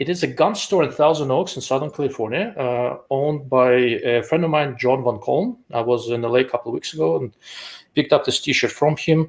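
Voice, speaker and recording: A fairly high-pitched man with a strong Russian accent, fairly quick pace, ordinary pitch variation. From Russia, Moscow. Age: 40s. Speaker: optics engineer and channel host. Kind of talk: live show interview.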